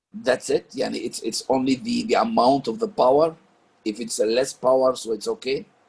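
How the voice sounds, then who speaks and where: A man with an Arabic accent speaks at a moderate pace. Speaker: parent discussion leader. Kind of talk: group discussion. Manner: halting.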